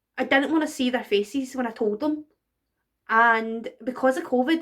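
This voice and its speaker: A woman with a Glaswegian accent, high-pitched, at a moderate pace with ordinary pitch variation. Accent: Glaswegian Scottish. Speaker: burlesque performer. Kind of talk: casual talk to camera, personal tribute. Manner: emotional, hesitant.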